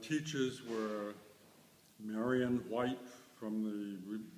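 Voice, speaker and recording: A man with an American accent talks at a very slow pace, with noticeable background noise and audible room echo. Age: 80s+. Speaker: museum curator. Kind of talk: interview. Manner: halting.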